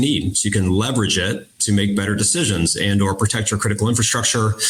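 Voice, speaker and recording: Amid noticeable background noise, a man with an American accent speaks at a very fast pace with a fairly low pitch and fairly even intonation. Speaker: defense industry executive. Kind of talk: panel discussion.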